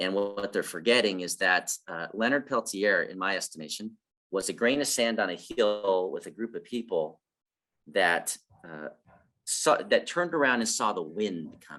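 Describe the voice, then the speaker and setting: A man talks with a bright, sharp tone and a fairly low pitch. His intonation is lively. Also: moderate pace. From Ojibwe (Anishinaabe) community, Garden River. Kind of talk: casual group discussion.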